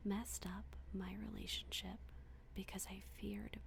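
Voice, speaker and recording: A soft-spoken woman whispering at a moderate pace, amid noticeable background noise. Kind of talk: bedtime story reading. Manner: soft-spoken, whispered.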